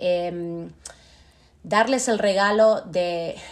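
A woman's medium-pitched voice with fairly even intonation. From Argentina, Buenos Aires. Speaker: Spanish teacher. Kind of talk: casual interview.

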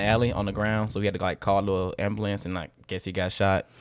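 Animated in tone, a man speaks at a very fast pace on a very clean recording with a silent background. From Birmingham, Alabama. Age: 20s. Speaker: hospital worker and student. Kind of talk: casual chat. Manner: animated, uses slang.

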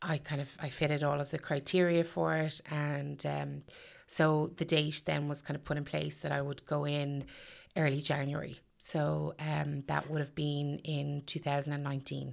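On a very clean recording with a silent background, a woman in a Meath Irish accent speaks at a fairly slow pace, her very deep, low pitch held monotone and flat. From Ireland, County Meath. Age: 40s. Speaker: stay-at-home mother sharing eating disorder experience. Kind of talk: personal testimony interview. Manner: hesitant, many fillers.

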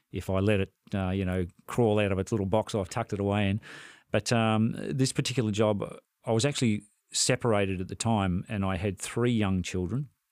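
A man with an Australian accent and a fairly low pitch speaks at a fairly quick pace with fairly even intonation. The very clean recording has a silent background and a dry, close sound with no echo. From Victoria, Australia. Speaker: retired flight paramedic. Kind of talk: interview.

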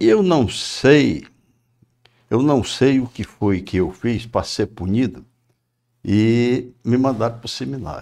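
A man speaks very slowly at a medium pitch, with a dark, mellow tone and ordinary pitch variation. Long, frequent pauses fill a very clean recording with a silent background. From Ceará, Brazil (Maranguape). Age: 60s. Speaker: business owner. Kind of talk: interview. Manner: halting.

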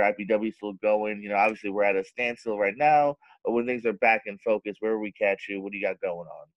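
Speaking at a fairly quick pace, a man has an ordinary speaking voice with a fairly low pitch. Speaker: podcast host. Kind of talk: casual interview chat.

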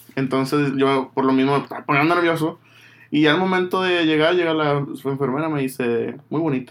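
This man has an ordinary speaking voice, fairly high in pitch, moving at a moderate pace with fairly even intonation. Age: 30s. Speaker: podcast host. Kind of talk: casual chat.

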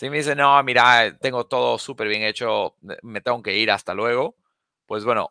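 The man's tone is bright and sharp. The sound is dry and close, with no echo. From Bolivia, La Paz. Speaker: sales expert. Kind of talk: Q&A webinar interview. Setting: live webinar.

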